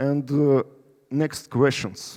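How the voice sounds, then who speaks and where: With a Russian accent, a man speaks at a fairly high pitch in a dark, mellow tone, his pitch varying in an ordinary way. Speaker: company CEO. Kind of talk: conference presentation; audience Q&A. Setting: stage with audience. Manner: halting.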